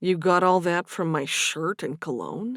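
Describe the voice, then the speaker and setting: A woman puts on a growling character voice, fairly low in pitch, at a moderate pace. The recording is very clean, with a silent background. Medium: read story. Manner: earnest, plain-spoken.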